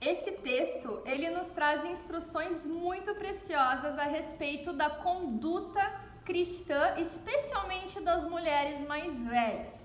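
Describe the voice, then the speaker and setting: A woman with a southern Brazilian accent speaks at a very slow pace in an extremely high, warm voice with lively intonation and audible room echo. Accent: gaúcho (southern Brazilian). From southern Brazil (Rio Grande do Sul). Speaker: pastor's wife giving a Bible reflection. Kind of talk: devotional Bible reflection. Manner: warm, conversational.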